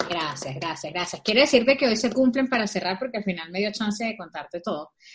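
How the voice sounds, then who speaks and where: Animated in tone, a woman speaks at a fairly high pitch with lively intonation and a somewhat breathy quality. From Venezuela. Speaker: podcast co-host. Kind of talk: casual chat.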